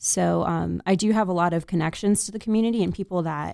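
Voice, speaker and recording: A woman's voice comes through dry and close with no echo, in a very clean recording with a silent background. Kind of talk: radio DJ patter, show ID and guest intro.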